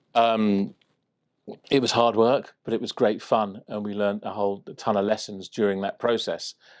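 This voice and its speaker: Over a quiet background, a man with a southern English accent speaks at a fairly low pitch in a monotone, flat way, the sound dry and close with no echo. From southwest London, England. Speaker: trade officer. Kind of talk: interview.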